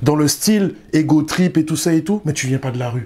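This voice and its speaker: A man with a fairly high pitch, a Parisian accent and a fairly slow pace. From Guadeloupe, raised partly in Paris. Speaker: rapper. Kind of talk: interview. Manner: casual, slangy.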